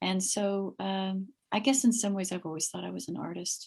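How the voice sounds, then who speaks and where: Her voice is somewhat breathy. She speaks with an American accent. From California. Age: 50s. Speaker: meditation group leader. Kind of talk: interview. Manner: calm.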